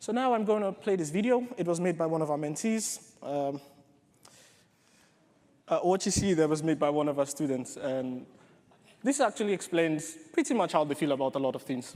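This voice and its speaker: A man with a British accent, fairly high in pitch and dark, mellow in tone, with lively intonation, a fairly quick pace and long, frequent pauses. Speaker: software developer and coding bootcamp organiser. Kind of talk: conference talk.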